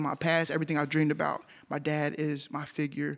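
A man with an American accent at a fairly quick pace, on a very clean recording with a silent background. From Texas, Arlington. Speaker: music producer. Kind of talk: casual chat.

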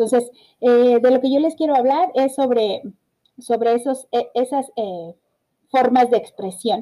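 In a Mexican accent, a woman speaks at a high pitch with a dark, mellow tone and ordinary pitch variation. Her pace is fairly slow, with long, frequent pauses. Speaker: podcast host. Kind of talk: solo podcast talk. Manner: halting, many fillers and repetitions.

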